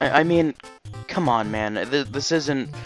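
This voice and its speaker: With music in the background, a man talks at a very slow pace using ordinary pitch variation. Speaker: video game reviewer. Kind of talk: casual unscripted game review talk.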